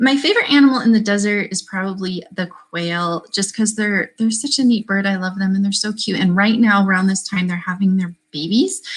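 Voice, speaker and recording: Somewhat breathy, a woman speaks at a fairly quick pace. Her pitch varies in an ordinary way. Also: medium pitch for a woman, hardly any pauses. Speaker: children's book author. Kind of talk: live stream book launch Q&A. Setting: livestream. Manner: fast.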